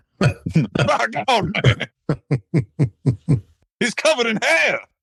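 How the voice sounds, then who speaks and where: A man's put-on character voice in a Southern accent, high-pitched and very slow. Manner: exaggerated, indignant.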